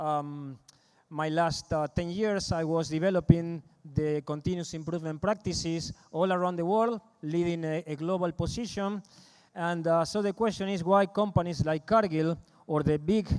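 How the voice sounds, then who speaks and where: A man speaks with a high pitch and fairly even intonation. His pace is moderate. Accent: Argentine. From Argentina, Rosario. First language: Spanish. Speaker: agribusiness consultant. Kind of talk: conference presentation. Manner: halting, many fillers.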